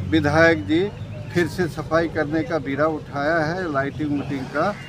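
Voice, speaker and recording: Against noticeable background noise, a man speaks in a fairly high voice with ordinary pitch variation. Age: 80s+. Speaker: community festival organizer. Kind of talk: interview.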